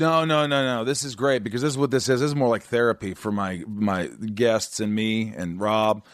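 A man with an American accent speaks at a moderate pace, barely pausing, in a medium pitch with ordinary pitch variation. It is an unremarkable speaking voice over a quiet background. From Indiana. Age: 40s. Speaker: podcast host. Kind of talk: casual interview chat.

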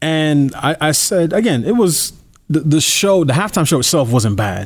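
On a very clean recording with a silent background, a man uses a normal speaking voice with lively intonation at a moderate pace. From New York. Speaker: political commentator. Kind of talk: interview.

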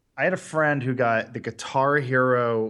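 In an American accent, a man talks at a medium pitch with fairly even intonation against a quiet background. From Los Angeles, US. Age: 30s. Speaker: comedy video creator. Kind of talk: casual chat.

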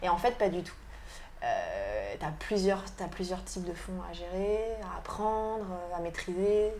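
Loudness rises and falls sharply as a woman speaks at a very slow pace. Room echo can be heard. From Brittany, France. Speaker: tattoo artist. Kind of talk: interview. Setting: tattoo shop. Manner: halting.

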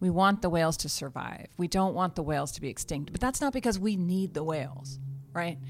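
Lively intonation and a fairly quick pace mark an ordinary speaking voice. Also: woman, fairly low pitch for a woman. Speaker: podcast host. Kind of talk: casual banter and interview.

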